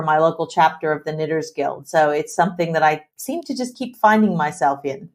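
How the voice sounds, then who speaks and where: In a very clean recording with a silent background, a woman uses an unremarkable speaking voice at a moderate pace with ordinary pitch variation. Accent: American. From US Midwest. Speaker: tech executive. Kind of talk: interview.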